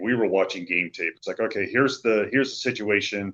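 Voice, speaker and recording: Moderately paced male speech over a quiet backdrop. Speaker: stadium public address announcer. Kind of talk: interview answer.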